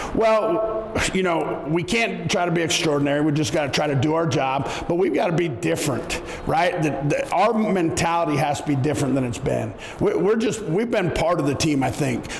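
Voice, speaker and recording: Amid noticeable background noise and audible room echo, a man talks in a high pitch with lively intonation and very even loudness. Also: moderate pace. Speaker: football coach. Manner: animated.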